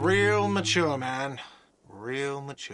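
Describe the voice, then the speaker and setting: Putting on a whiny character voice, a man speaks at a medium pitch with ordinary pitch variation, and audible echo surrounds him. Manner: shouting, sarcastic.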